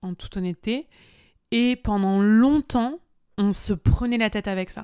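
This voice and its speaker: In an animated tone, the speaker talks at a fairly slow pace with ordinary pitch variation, in a dry, close sound with no echo on a very clean recording with a silent background. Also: woman. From France. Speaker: podcast host and online business coach. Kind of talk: casual solo podcast talk.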